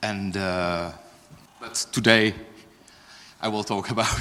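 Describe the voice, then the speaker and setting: Speaking at a fairly slow pace, a man with a fairly low pitch is heard through noticeable background noise and audible room echo. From France / Netherlands. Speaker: software engineer, conference speaker. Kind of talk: conference talk. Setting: stage with audience.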